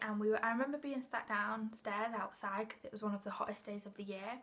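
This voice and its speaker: A bright, sharp tone in an English accent, with fairly even intonation. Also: woman. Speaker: vlogger. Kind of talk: personal storytelling. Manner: fast; casual, rambling.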